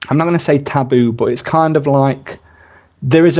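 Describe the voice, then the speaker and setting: With an English accent, a man talks with ordinary pitch variation. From rural England. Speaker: podcast host. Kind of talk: casual interview chat.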